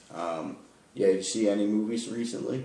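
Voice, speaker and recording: In an American accent, a man talks with a fairly low pitch and ordinary pitch variation, with audible room echo. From New York. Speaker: podcast host. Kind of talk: casual chat.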